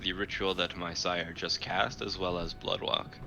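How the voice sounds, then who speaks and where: Music plays in the background. Over it, a man speaks at a moderate pace in a very deep, low pitch. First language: Arabic. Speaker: tabletop role-play player. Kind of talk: tabletop role-play session. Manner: casual, stumbling over words.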